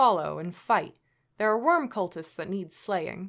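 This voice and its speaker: Put-on character voice from a woman at medium pitch, fairly slow pace, on a very clean recording with a silent background. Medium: read story.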